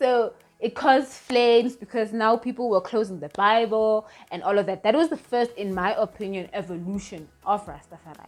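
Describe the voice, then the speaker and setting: With noticeable background noise around her, a woman talks at a moderate pace and a fairly high pitch, with ordinary pitch variation. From South Africa. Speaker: YouTuber and Rastafari commentator. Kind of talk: casual talk to camera. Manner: hesitant, many fillers.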